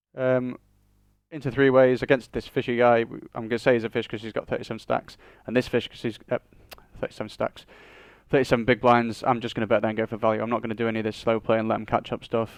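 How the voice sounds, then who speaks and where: A man with a northern English accent, medium-pitched, very fast and monotone, with flat intonation. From northern England. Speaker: online poker player. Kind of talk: live commentary of own poker play.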